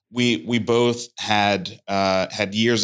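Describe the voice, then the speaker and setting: A man with an American accent and fairly even intonation. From Brooklyn, New York. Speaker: venture fund founder. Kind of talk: interview. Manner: halting, many repetitions.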